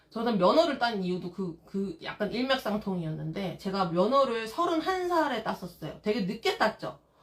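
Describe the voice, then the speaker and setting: A woman speaks with an animated tone at a medium pitch. Her pace is moderate, and background noise is noticeable. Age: 40s. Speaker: live-stream vlogger, mother. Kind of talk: live stream casual chat.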